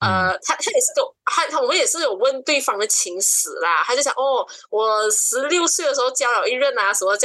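Speaking at a fairly quick pace in a Malaysian accent, a woman keeps her loudness very even and hardly pauses. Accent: Malaysian Chinese Mandarin. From East Malaysia, Sarawak (Kuching). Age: 20s. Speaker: podcast guest. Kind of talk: casual chat.

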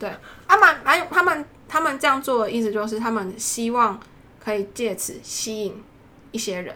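A woman's lively, up-and-down delivery with big swings in loudness, long and frequent pauses, and noticeable background noise. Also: fairly high pitch for a woman, moderate pace. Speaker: doctoral student. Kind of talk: casual chat.

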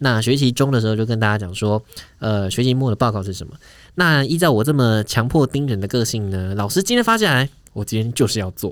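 A man talking at a very fast pace on a very clean recording with a silent background. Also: medium pitch for a man, ordinary pitch variation. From southern Taiwan. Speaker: podcast co-host. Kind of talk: casual chat.

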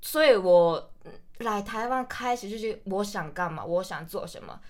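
Animated in tone, a woman speaks at a moderate pace. Her pitch is fairly high. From Japan, Hokkaido. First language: Japanese (speaking Chinese). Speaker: university student. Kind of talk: casual chat.

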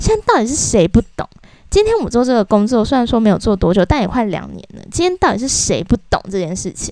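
Speaking very fast with lively intonation, a woman uses a Taiwanese accent. Her fairly high voice has a dark, mellow tone. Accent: Taiwanese Mandarin. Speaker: podcast host. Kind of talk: casual rant monologue.

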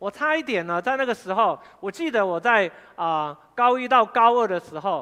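Raising and projecting his high voice, a man speaks at a fairly quick pace in a bright, sharp tone with very wide pitch swings. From Taiwan, Fengyuan (Taichung). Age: 50s. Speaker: pastor. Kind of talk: sermon. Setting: church.

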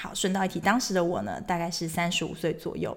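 At a fairly quick pace, a woman with a fairly low pitch talks in an ordinary speaking voice. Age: 30s. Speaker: podcast host. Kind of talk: casual monologue.

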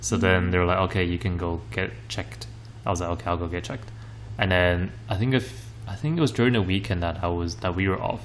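Very fast and full of very wide pitch swings, a man's very deep, low voice carries vocal fry over audible room echo. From Taiwan, Kaohsiung. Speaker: podcast co-host. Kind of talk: casual chat. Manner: hesitant, many fillers.

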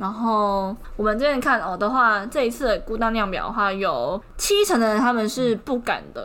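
A woman in a Taiwanese accent, fairly high in pitch, with ordinary pitch variation and a moderate pace. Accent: Taiwanese Mandarin. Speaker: podcast co-host. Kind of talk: casual chat. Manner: animated.

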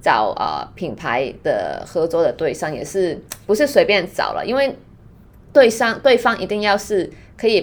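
A moderate pace in a Cantonese accent. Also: woman. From Hong Kong. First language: Cantonese (speaking Chinese). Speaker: skincare brand founder and yoga teacher. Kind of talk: casual chat.

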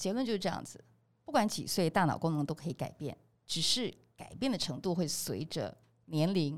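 An ordinary speaking voice from a woman, fairly low in pitch, with lively intonation at a moderate pace. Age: 20s. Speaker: podcast host. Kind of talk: casual chat.

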